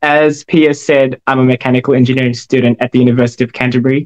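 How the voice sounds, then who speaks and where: A man talks in a monotone, flat intonation, the sound dry and close with no echo. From Philippines, Batangas, moved to New Zealand at ten. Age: 20s. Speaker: engineering student and model. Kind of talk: interview. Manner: hesitant, many fillers.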